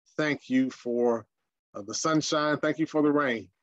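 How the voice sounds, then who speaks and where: At a fairly slow pace, a man talks. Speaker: senior minister. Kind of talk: prayer and Bible study lecture. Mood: calm, reverent. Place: home room.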